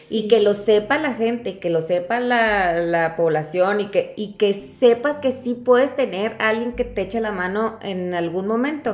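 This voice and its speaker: A woman's fairly high voice at a fairly slow pace, with ordinary pitch variation and hardly any pauses. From Mexico, Chihuahua (Cuauhtémoc). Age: 40s. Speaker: foundation director and lawyer. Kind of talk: casual interview. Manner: hesitant, many fillers.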